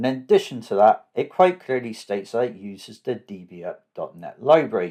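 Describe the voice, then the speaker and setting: In a very clean recording with a silent background, a man with a southwest English accent talks fairly quickly, his loudness swinging widely. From southwest England. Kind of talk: tutorial.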